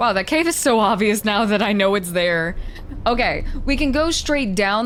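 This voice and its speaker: Recorded with noticeable background noise and audible room echo, a woman is speaking. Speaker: gaming video creator. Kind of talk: let's play commentary.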